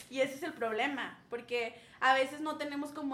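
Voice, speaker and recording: A woman with a high pitch and fairly even intonation, at a moderate pace, amid audible room echo. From northern Mexico, Saltillo. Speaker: schoolteacher. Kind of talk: casual chat.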